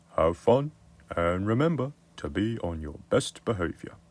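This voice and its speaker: This is a put-on character voice with very wide pitch swings. It moves at a moderate pace. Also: man, medium pitch for a man. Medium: read story.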